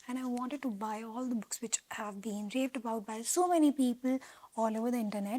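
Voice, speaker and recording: Speaking very fast, a woman with a non-native accent uses a fairly high pitch. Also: ordinary pitch variation. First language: not English. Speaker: booktuber. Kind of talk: casual vlog talk. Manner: animated.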